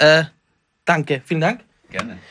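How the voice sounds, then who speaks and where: Recorded dry and close with no echo, a high-voiced man speaks at a very slow pace. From Austria, Vienna-Meidling and Lower Austria. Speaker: comedian and DJ. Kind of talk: comedy performance with DJ set. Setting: radio studio.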